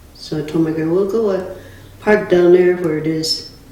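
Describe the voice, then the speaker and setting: Over noticeable background noise and audible room echo, a woman with an American accent speaks at a fairly slow pace with a fairly low pitch and fairly even intonation. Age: 80s+. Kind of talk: storytelling interview.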